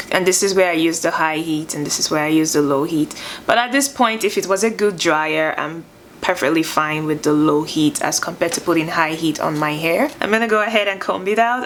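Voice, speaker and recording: A woman's fairly low voice at a fairly quick pace, with ordinary pitch variation and noticeable background noise. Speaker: beauty vlogger. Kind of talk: product review. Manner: slurring words at times.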